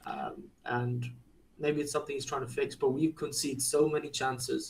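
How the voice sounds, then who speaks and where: Here a man speaks with a non-native accent. His pace is moderate. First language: not English. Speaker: football podcast co-host. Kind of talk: casual chat.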